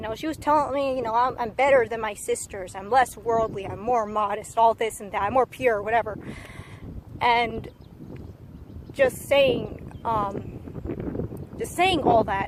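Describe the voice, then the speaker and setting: A woman speaks at a fairly high pitch and fairly slow pace with ordinary pitch variation, big swings in loudness and long, frequent pauses, over noticeable background noise. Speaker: vlogger sharing personal story. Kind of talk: testimony. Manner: rambling, hesitant with fillers.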